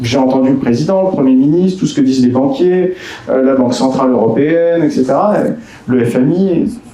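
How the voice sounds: A man's dark, mellow voice with audible room echo. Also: medium pitch for a man, ordinary pitch variation, fairly quick pace.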